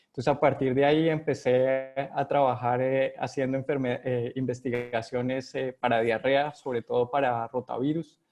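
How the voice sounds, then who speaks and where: With music in the background, a man with a Colombian accent talks at a moderate pace and a medium pitch, his intonation flat and monotone and his speech having hardly any pauses. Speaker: epidemiologist. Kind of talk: interview. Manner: hesitant, many fillers.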